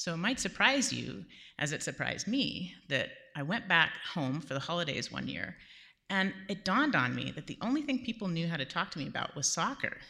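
In an American accent, a woman speaks at a fairly low pitch with vocal fry, a bright, sharp tone and very wide pitch swings. The recording is very clean, with a silent background. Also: fairly quick pace. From Southern California. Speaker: storyteller. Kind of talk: live storytelling. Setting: stage with audience in a church.

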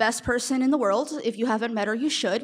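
This woman has an unremarkable speaking voice and an American accent. Her pitch is fairly high and her intonation fairly even. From California. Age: 20s. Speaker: storyteller. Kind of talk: live storytelling. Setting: stage with audience.

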